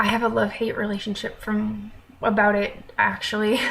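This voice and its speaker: Somewhat breathy and fairly high-pitched, a woman with an American accent speaks at a moderate pace amid audible room echo. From American, raised abroad (third culture kid). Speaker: vlogger. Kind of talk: casual vlog talk. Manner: conversational with filler ums.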